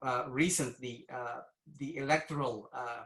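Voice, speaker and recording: Audible room echo surrounds speech that moves at a fairly slow pace with ordinary pitch variation. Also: man. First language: not English. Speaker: cybersecurity executive. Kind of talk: conference presentation. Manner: hesitant, many fillers.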